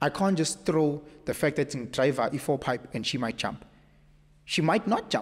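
A man talks at a moderate pace. His voice carries vocal fry. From South Africa. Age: 30s. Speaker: podcast guest. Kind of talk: casual chat. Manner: animated. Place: studio. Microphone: studio mic.

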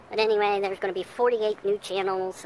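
Recorded dry with no echo, this woman's voice sits over noticeable background noise. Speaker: campground vlogger. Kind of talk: casual vlog chat. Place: open country. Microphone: phone near.

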